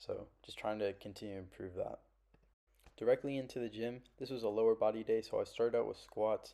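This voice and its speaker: A man talks at a fairly quick pace, with big swings in loudness. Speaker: vlogger. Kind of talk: casual vlog talk. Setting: walking around while recording. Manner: monotone; halting, many pauses.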